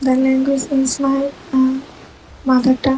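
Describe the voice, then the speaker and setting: Noticeable background noise sits behind a woman with a Bengali accent. Her high-pitched voice holds a monotone, flat intonation. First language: Bangla. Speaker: IELTS student. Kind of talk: mock speaking test answers. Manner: halting.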